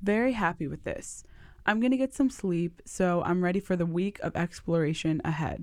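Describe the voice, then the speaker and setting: An unremarkable speaking voice from a woman, fairly low in pitch with ordinary pitch variation and a moderate pace, on a very clean recording with a silent background. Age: 20s. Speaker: podcast host, student. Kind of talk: narration and vlog-style diary.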